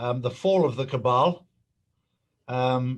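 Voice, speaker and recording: This man speaks with an English accent. His pitch is medium. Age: 60s. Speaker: conspiracy commentator. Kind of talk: interview.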